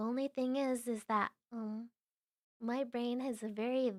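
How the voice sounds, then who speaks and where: Soft-spoken and high-pitched, a woman talks at a fairly slow pace, the sound dry and close with no echo. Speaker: vtuber streamer. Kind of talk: casual livestream chat.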